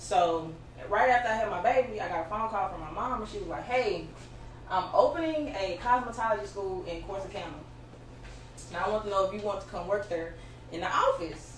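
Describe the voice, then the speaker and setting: A woman speaks with lively intonation at a fairly quick pace, with audible room echo and noticeable background noise. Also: medium pitch for a woman, big swings in loudness. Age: 30s. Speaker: hairstylist. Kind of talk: interview.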